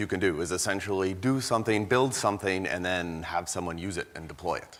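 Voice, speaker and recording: A man with a Canadian accent talks at a fairly quick pace. His intonation is lively, and noticeable background noise is present. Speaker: industry researcher. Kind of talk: conference talk. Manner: hesitant, many fillers.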